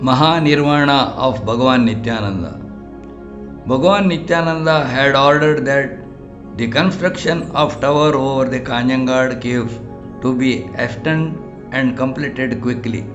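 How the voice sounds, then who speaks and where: A man at medium pitch and a moderate pace, with ordinary pitch variation and music in the background. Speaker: spiritual teacher. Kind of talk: audiobook narration.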